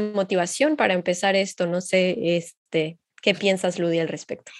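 At a fairly slow pace comes an unremarkable speaking voice. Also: woman. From Mexico, Xalapa. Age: 20s. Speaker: psychology master's student, podcast co-host. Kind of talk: casual podcast conversation.

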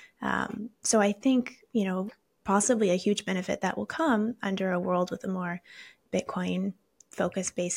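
Heard in a very clean recording with a silent background and a dry, close sound with no echo, a woman with a somewhat breathy, medium-pitched voice speaks at a moderate pace with fairly even intonation. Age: 20s. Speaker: Bitcoin educator. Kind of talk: interview.

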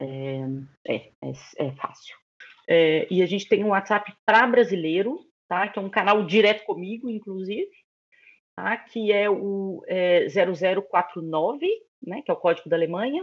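Using an ordinary speaking voice, a woman with a medium pitch talks fairly slowly with lively intonation. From Brazil, Belo Horizonte, Minas Gerais. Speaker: relocation business owner. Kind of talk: interview.

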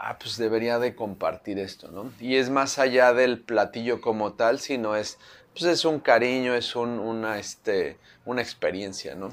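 Over a silent background in a very clean recording, a man talks at a fairly slow pace. His pitch sits at a medium level. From Mexico City. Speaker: chef. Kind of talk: interview. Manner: halting; animated.

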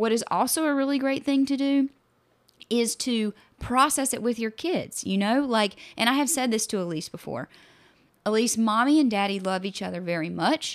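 Her intonation rises and falls in a lively way. The woman talks at a fairly quick pace. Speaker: therapist podcast co-host. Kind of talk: casual chat. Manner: loud, passionate.

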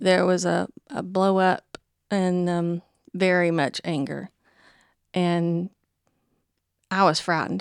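A woman with a Southern US accent, fairly low-pitched, at a very slow pace with long, frequent pauses, fairly even intonation, a dry, close sound with no echo, and a very clean recording over a silent background. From US South. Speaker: churchgoer sharing faith story. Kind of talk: testimony.

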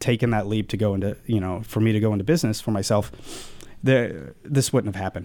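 A man talks at a fairly quick pace. His pitch is fairly low and his tone slightly mellow.

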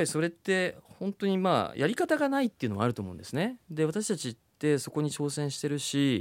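In a very clean recording with a silent background, a man talks at a fairly quick pace and fairly high pitch, with very wide pitch swings and hardly any pauses. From Japan, Kumamoto. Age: 40s. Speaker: startup CEO. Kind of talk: interview.

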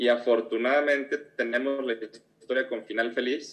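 Monotone and flat in intonation, a man speaks at medium pitch and a very slow pace. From Mexico, Guadalajara. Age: 40s. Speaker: business leader. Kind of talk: interview.

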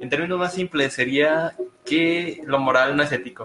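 Speaking with a Mexican accent, a man goes at a fairly slow pace with ordinary pitch variation amid noticeable background noise. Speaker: podcast co-host. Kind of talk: casual discussion. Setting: live stream in a room.

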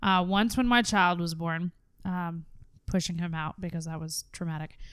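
On a very clean recording with a silent background, a woman with an ordinary speaking voice talks at a fairly low pitch with fairly even intonation. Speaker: podcast host. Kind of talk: casual chat. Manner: playful, bantering.

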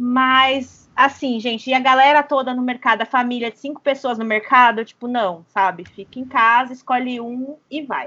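Speaking at a moderate pace, a woman has a high voice with fairly even intonation and big swings in loudness. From interior of São Paulo state, Brazil. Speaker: podcast host, travel journalist. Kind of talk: casual chat. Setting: remote recording from home.

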